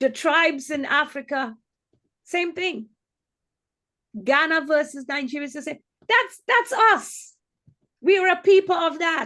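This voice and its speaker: At a fairly slow pace with long, frequent pauses, a woman with an extremely high pitch speaks in a raised, projected voice, her bright, sharp tone animated and her intonation lively. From Trinidad and Tobago. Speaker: healthcare executive. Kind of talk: webinar panel discussion.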